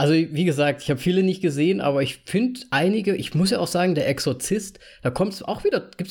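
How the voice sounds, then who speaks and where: Speaking at a very fast pace, a man uses a high-pitched voice. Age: 30s. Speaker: podcast host. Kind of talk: casual chat.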